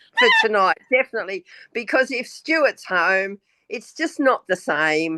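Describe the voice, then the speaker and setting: A woman with an Australian accent talks at a very slow pace in a bright, sharp tone, her voice dry and close with no echo. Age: 70s. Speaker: retired banker, spiritual guest. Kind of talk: casual interview.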